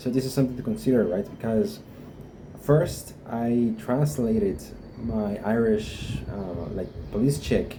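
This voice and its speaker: A man with a Guatemalan accent speaks at a fairly low pitch with ordinary variation. Room echo is audible, and background noise is noticeable. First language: Spanish. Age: 20s. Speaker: vlogger. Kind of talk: personal experience vlog. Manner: halting, many fillers.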